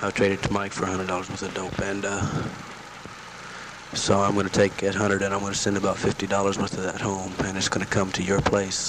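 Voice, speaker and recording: With noticeable background noise around him, a man talks at a fairly quick pace in a fairly low voice, the sound dry and free of echo. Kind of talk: casual spoken letter. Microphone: old recording.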